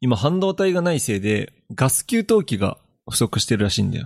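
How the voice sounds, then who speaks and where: A man's voice moves in very wide pitch swings, with a dry, close sound and no echo. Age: 20s. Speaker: podcast co-host. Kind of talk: casual chat.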